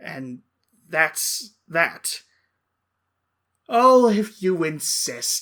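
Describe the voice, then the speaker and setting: Putting on a character voice, a man speaks very slowly in a high pitch, pausing often and at length. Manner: theatrical, mock-polite.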